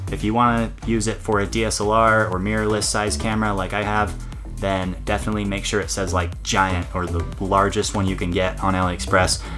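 With clear music in the background, a man speaks at a fairly quick pace and a very deep, low pitch. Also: ordinary pitch variation. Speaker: video creator. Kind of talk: tutorial. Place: home room.

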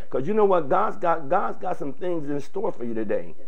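Words come very fast from a man. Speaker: preacher hosting a stream. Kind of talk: sermon-style address to viewers. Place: studio.

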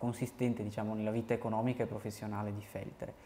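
Over light background noise, a man of medium pitch talks with fairly even intonation. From Quero, Belluno province, Veneto, Italy; Veneto, Italy. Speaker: civil service volunteer archivist; guest. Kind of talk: interview. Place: studio. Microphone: lapel.

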